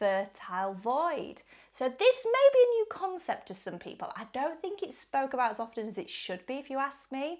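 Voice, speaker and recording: A woman's high voice with an English accent, animated in tone, with very wide pitch swings, big swings in loudness, a moderate pace and hardly any pauses. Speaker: wellbeing vlogger. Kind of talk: casual chat.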